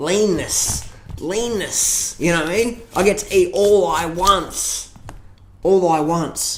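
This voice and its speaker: An animated tone at a fairly slow pace over noticeable background noise. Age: 30s. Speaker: fitness and diet vlogger. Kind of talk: casual vlog monologue.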